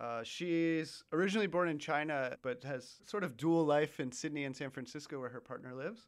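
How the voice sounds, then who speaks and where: With an American accent and a plain, everyday voice, a man speaks at a fairly quick pace with hardly any pauses, fairly high pitch and ordinary pitch variation, in a very clean recording with a silent background. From United States. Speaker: podcast producer. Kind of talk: casual podcast conversation.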